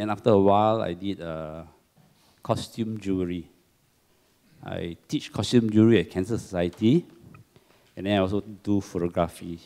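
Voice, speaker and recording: The voice has a dark, mellow tone and a Singaporean accent. Intonation stays fairly even, broken by long, frequent pauses. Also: man, fairly low pitch for a man, moderate pace. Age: 60s. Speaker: cancer survivor, support group secretary. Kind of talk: testimony.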